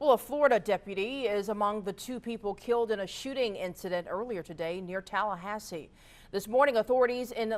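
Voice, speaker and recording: A woman speaks at a fairly quick pace in a normal speaking voice, her fairly high pitch moving with ordinary variation. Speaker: TV news anchor and reporter. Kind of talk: TV news anchor delivery.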